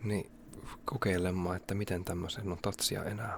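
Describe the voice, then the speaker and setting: Somewhat breathy and relaxed in tone, a man speaks with a very deep, low pitch and fairly even intonation. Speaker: ASMR creator. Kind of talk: ASMR whispering and casual talk. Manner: relaxed, unhurried.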